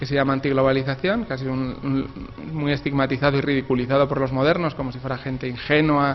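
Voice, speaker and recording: The delivery is monotone, with flat intonation, over noticeable background noise. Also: man. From Spain. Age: 40s. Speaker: author. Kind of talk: interview. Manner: halting.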